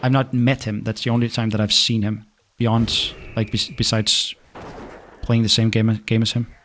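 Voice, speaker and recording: A man's medium-pitched, monotone delivery at a moderate pace, broken by long, frequent pauses. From Denmark. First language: Danish. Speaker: gaming streamer. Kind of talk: casual live stream chat. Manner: halting, many repeats and fillers.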